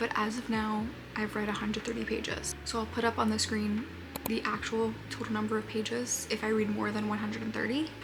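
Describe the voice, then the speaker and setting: A woman whispers at a fairly quick pace, with music in the background and audible room echo. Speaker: booktuber. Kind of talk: casual vlog. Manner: whispering.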